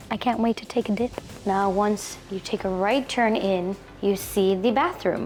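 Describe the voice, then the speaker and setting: Over noticeable background noise, a woman speaks at medium pitch and a fairly slow pace. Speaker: travel show host. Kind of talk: casual vlog tour. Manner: animated.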